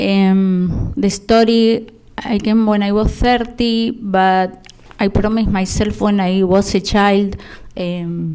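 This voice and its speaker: A woman with a Spanish accent talks at a very slow pace and medium pitch. Her intonation stays fairly even over noticeable background noise. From Argentina. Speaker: immigrant panelist. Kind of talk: panel talk, personal story.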